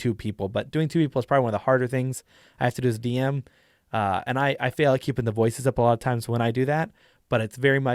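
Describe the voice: Plain reading aloud with a fairly even intonation.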